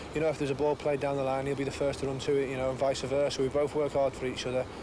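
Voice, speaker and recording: A man with a fairly high pitch races along at a very fast pace, his dry sound with no echo set against noticeable background noise. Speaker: professional footballer. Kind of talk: interview. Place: stadium.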